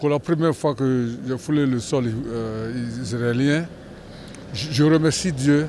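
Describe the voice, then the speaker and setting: A man talks at a very slow pace with ordinary pitch variation. Noticeable background noise sits behind him. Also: medium pitch for a man. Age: 70s. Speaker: pilgrim. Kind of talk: testimony. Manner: halting.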